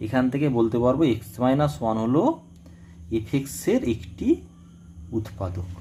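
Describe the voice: The man's pitch is medium and his tone dark and mellow. He speaks at a moderate pace with lively intonation.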